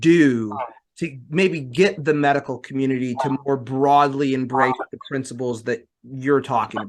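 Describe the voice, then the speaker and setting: Using a plain, everyday voice, a man talks at a medium pitch. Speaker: podcast host, exercise physiologist. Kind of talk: podcast intro and interview questions.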